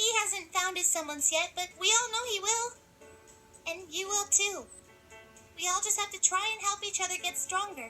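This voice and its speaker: In a squeaky put-on character voice at an extremely high pitch, a woman speaks at a moderate pace with long, frequent pauses over clear music in the background. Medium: cartoon. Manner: bubbly, fast.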